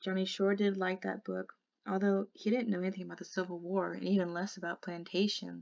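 Against a quiet background, someone reads in a natural voice.

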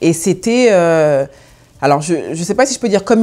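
Her dark, mellow tone carries very wide pitch swings as this woman speaks. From France. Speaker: food blogger. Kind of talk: personal interview monologue. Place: studio. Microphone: lapel.

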